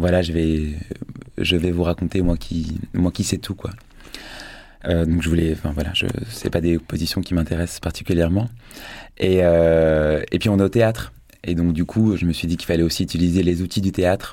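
This man's pitch is very deep and low, his tone dark and mellow, and his intonation fairly even. He keeps a moderate pace with long, frequent pauses, on a very clean recording against a silent background. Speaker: theatre director. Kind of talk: radio interview. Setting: studio. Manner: halting.

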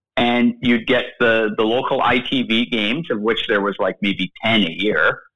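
Speaking in an unremarkable speaking voice with a Canadian accent, a man keeps a medium pitch and a fairly slow pace with hardly any pauses. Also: fairly even intonation, very even loudness. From Edmonton, Alberta, Canada. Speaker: hockey play-by-play broadcaster. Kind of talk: casual interview.

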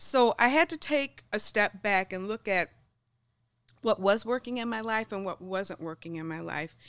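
A woman's fairly high-pitched voice, a plain, everyday voice, with lively intonation, big swings in loudness and a moderate pace, on a very clean, dry, close recording with a silent background and no echo. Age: 60s. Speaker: health and lifestyle coach. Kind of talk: interview conversation.

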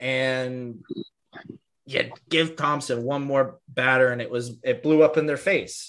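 A man with a fairly high pitch talks at a fairly slow pace in an ordinary speaking voice. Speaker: podcast host. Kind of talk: casual chat. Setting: video call.

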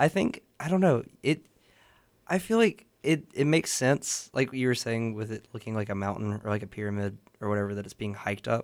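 A man with a medium pitch speaks at a fairly quick pace with lively intonation. It is a normal speaking voice. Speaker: guest poet and radio host. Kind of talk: casual chat.

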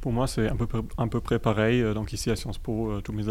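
Very fast and monotone, a man with a German accent talks at a medium pitch with vocal fry and flat intonation. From Germany. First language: German (speaking French). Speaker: student association co-president. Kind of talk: radio interview. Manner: halting.

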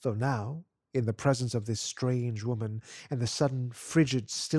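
The background is silent. An unforced reading voice is heard.

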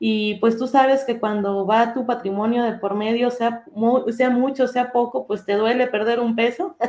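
An ordinary speaking voice, at a fairly slow pace with hardly any pauses. The intonation stays fairly even. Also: woman, fairly high pitch for a woman. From Durango, Mexico. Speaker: economist and academic researcher. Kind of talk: interview conversation.

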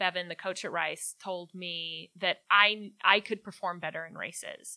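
Recorded very cleanly over a silent background, a woman speaks with an American accent. Her medium-pitched voice has a bright, sharp tone. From Austin, Texas. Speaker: sports psychologist and former Olympic runner. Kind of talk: interview.

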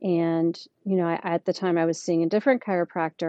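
In an ordinary speaking voice, a woman talks with fairly even intonation. Her pitch sits fairly low. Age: 40s. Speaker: patient sharing recovery story. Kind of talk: interview.

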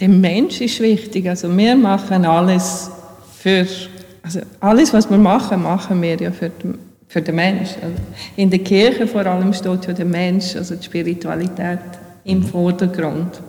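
In a Bosnian accent, a woman with a medium pitch talks at a fairly slow pace with fairly even intonation and big swings in loudness, amid noticeable background noise and audible room echo. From Bosnia, moved to Switzerland at 12-13. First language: Bosnian (speaking German). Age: 40s. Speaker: church administrator. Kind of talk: interview in church service. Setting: church with congregation.

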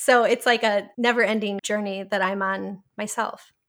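Here is a woman with an American accent and an ordinary speaking voice, pitched fairly high with fairly even intonation. She talks at a fairly slow pace on a very clean recording with a silent background. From US Midwest, Milwaukee, Wisconsin. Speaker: tech program manager. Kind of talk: interview.

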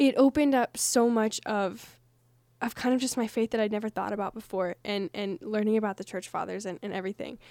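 This woman has a fairly high pitch and a dark, mellow tone, with ordinary pitch variation. She speaks at a fairly quick pace, and the sound is dry and close with no echo. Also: very clean recording, silent background. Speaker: college radio podcast co-host. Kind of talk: casual chat.

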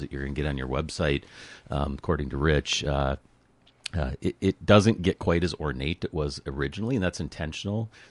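With a very deep, low pitch and vocal fry, a man talks at a fairly quick pace. His pitch varies in an ordinary way, and the sound is dry and close with no echo. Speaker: city administrator. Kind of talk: radio interview. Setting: studio.

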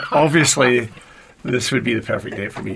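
Man's medium-pitched voice with a Scottish accent and ordinary pitch variation. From Scotland, Paisley near Glasgow. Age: 40s. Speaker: university communications executive. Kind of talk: interview.

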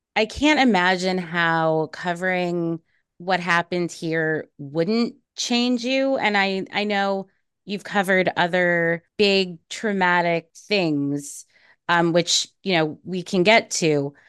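At a fairly low pitch with ordinary variation, a woman speaks very slowly over a quiet background. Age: 30s. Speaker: podcast host and journalism teacher. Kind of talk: interview conversation.

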